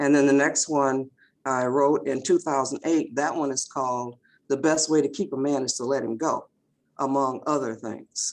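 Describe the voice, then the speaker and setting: A woman's very deep, low-pitched voice at a moderate pace, over a quiet background. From Detroit, Michigan, US. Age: 70s. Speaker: author. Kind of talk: podcast interview. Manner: halting, with many fillers.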